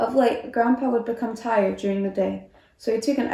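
This is an unforced reading voice. It stays unforced throughout.

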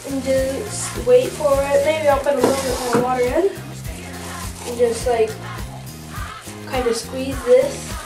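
Over clear background music, the speaker talks at a fairly slow pace with long, frequent pauses. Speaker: home experiment demonstrator. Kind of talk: tutorial. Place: bathroom. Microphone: camera far.

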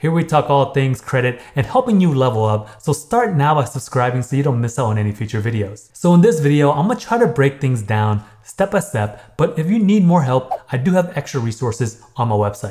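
A man's somewhat breathy voice at a fairly quick pace, over a quiet background. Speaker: credit education youtuber. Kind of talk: tutorial. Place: home room.

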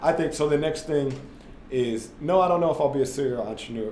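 A man with an American accent at a very fast pace with ordinary pitch variation, with audible room echo and light background noise. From US Midwest, St. Louis area; US Midwest. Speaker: former basketball player turned tech entrepreneur; podcast guest. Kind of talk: casual interview. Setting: studio, in person. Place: meeting room.

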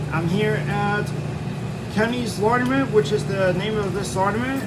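With loud background noise behind him, a man speaks at a moderate pace. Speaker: laundromat vlogger. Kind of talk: casual vlog chat. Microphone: phone near.

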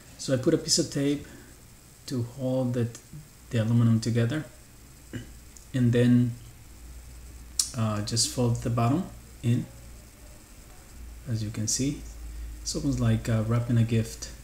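Speaking at a moderate pace, a man keeps a fairly even intonation and leaves long, frequent pauses, with audible room echo. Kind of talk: tutorial. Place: kitchen.

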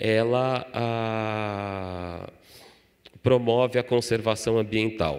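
Fairly even intonation on a very clean recording with a silent background. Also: man. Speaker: social entrepreneur. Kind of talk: talk.

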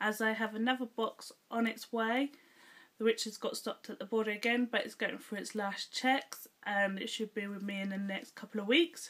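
Speaking at a moderate pace, a woman with an English accent has a fairly high pitch and fairly even intonation. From England. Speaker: YouTuber. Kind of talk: casual vlog taste test.

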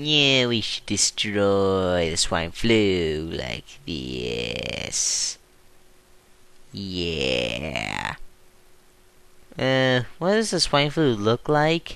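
A man puts on a cartoonish character voice at a fairly low pitch, with very wide pitch swings. He talks at a very slow pace with long, frequent pauses. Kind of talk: homemade claymation comic voice. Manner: eager, then panicky.

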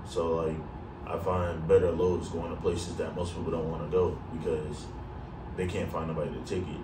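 A man talks at a moderate pace, and noticeable background noise is present. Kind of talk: casual vlog chat. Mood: calm advice giving. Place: home room. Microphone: camera far.

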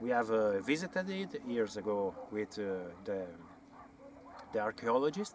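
With a strong Italian accent, the speaker talks over music in the background in a dry sound with no echo. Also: man. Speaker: amateur archaeology researcher and author. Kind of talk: educational talk to camera on site. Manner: hesitant, with frequent fillers. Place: open country.

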